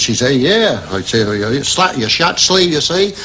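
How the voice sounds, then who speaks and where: A man with a Norfolk accent speaks at a moderate pace with very wide pitch swings over noticeable background noise. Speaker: wheelwright. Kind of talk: casual anecdote.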